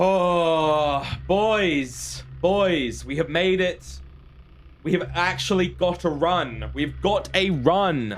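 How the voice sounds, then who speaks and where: Audible room echo surrounds the voice. A man speaks at a very slow pace. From Britain. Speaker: gaming streamer. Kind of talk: live gameplay stream chat. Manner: animated.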